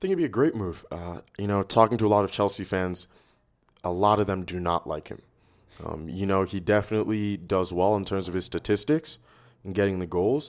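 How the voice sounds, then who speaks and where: A man with an American accent speaks in a normal speaking voice, fairly low in pitch and at a fairly quick pace with ordinary pitch variation, on a very clean recording with a silent background. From New York City. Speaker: soccer coach. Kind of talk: casual chat.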